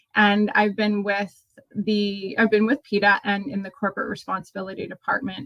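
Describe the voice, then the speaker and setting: At a moderate pace, a woman speaks in a medium pitch with a bright, sharp tone and fairly even intonation, in a dry, close sound with no echo. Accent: American. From Australia, moved to US young. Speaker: nonprofit manager. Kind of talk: interview. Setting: remote call. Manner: halting, many fillers.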